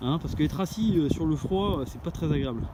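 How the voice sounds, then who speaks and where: Noticeable background noise is present. The man's pace is moderate. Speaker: outdoor gear vlogger. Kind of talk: outdoor vlog. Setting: outdoors, camping on a dune. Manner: hesitant, many fillers.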